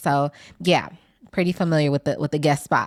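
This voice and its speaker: A woman with an American accent speaks at a fairly quick pace in a very deep, low voice, recorded very cleanly with a silent background and a dry, close sound with no echo. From US Midwest, Milwaukee. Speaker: podcast producer. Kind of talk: interview.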